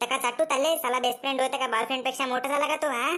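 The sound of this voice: In a cartoonish character voice, someone rattles off words at a very fast pace with monotone, flat intonation and very even loudness while music plays in the background. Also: woman, high pitch for a woman.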